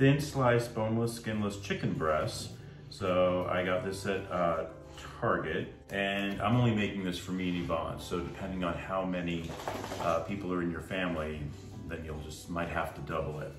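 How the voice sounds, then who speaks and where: Clear music plays behind a man whose voice sits very deep and low. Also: ordinary pitch variation, moderate pace. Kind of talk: cooking tutorial. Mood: relaxed, friendly. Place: kitchen. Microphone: phone near.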